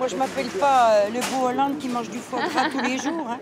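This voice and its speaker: Amid crowd noise and audible room echo, a woman speaks fairly quickly in a high voice with fairly even intonation. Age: 70s. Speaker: market vendor. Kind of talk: interview.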